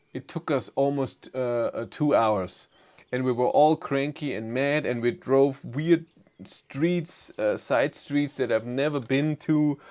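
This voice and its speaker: A man with a German accent talks at a very slow pace in a fairly high voice with ordinary pitch variation. The recording is very clean, with a silent background. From Germany. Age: 40s. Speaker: EV YouTuber. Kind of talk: live stream chat. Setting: live stream. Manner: halting.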